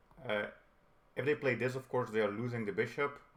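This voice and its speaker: A man's voice at medium pitch. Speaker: chess instructor. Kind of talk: tutorial.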